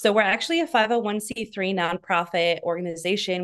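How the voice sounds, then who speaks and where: At medium pitch and a moderate pace, a woman talks with ordinary pitch variation over a quiet background. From US Midwest, northern Wisconsin. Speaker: communications director of a nonprofit. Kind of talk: interview.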